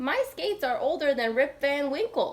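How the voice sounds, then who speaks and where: A high-pitched, put-on character voice at a moderate pace. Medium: read story.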